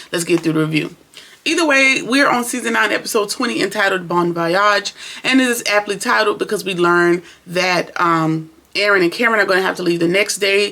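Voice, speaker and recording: Lively intonation at a fairly quick pace, very even loudness and noticeable background noise. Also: woman, medium pitch for a woman. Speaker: TV show reviewer. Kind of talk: casual review vlog.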